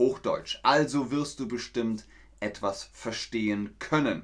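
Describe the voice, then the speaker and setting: A man speaks with lively intonation. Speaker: German language teacher streaming to learners. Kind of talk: live-streamed language lesson. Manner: slow, relaxed; animated.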